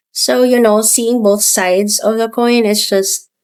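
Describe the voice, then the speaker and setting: A woman speaks with a Filipino accent. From Philippines. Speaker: business founder. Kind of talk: podcast interview. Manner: hesitant with fillers.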